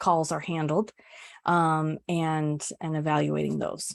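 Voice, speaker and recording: A very slow pace, with a dry, close sound with no echo and a quiet background. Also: woman. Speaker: customer experience executive presenting a webinar. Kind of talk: webinar presentation with Q&A. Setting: online webinar.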